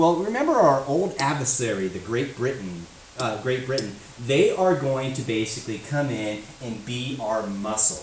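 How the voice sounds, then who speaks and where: A man speaks at a medium pitch. Noticeable background noise and audible room echo surround him. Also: lively intonation, moderate pace. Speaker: history teacher. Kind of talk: lecture.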